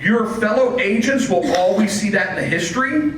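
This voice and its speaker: Over noticeable background noise and audible room echo, a man speaks at a high pitch and moderate pace with ordinary pitch variation. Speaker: real estate listing service representative. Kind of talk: presentation with Q&A at office meeting. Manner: loud.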